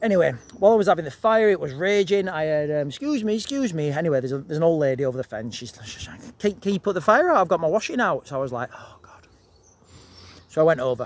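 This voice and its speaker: In a dry sound with no echo, a man talks at a very fast pace and a high pitch, with very wide pitch swings and big swings in loudness. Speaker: vlogger. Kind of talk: casual vlog chat, storytelling. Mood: animated, amused. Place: garden. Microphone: phone near.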